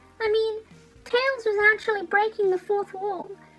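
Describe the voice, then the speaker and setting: Over music in the background, a woman with an extremely high pitch speaks in a raised, projected voice at a fairly quick pace, her intonation fairly even. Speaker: media reviewer. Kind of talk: dramatic reading of horror fan fiction. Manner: dramatic.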